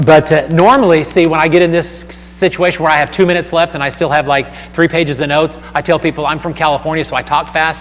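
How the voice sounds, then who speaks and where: Over noticeable background noise, a man with a fairly high voice talks very fast with fairly even intonation and hardly any pauses. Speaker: church outreach speaker. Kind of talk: seminar talk.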